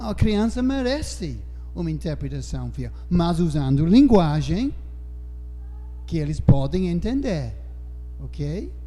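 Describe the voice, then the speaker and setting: Over music in the background and audible room echo, a man speaks with a non-native accent at a very slow pace. Long, frequent pauses break his speech, and his loudness swings widely. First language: not Portuguese (speaking Portuguese). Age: old. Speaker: Bible teacher. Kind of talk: Bible study discussion. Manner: halting.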